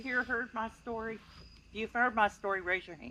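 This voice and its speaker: In an East Texas accent, a woman speaks at a fairly high pitch in a bright, sharp tone. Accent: East Texas Southern US. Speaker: speaker at a paranormal campout. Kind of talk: personal story told to an audience.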